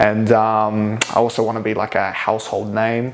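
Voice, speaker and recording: Against noticeable background noise, a man with a New Zealand accent speaks at a moderate pace in a fairly low pitch. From New Zealand, Hamilton. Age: 20s. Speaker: mixed martial arts fighter. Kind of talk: casual chat.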